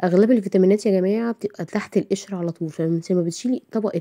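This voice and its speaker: Very fast and with an Egyptian accent, a woman speaks in a dark, mellow tone, recorded dry and close with no echo. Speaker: cooking channel host. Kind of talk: cooking tutorial. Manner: casual, chatty.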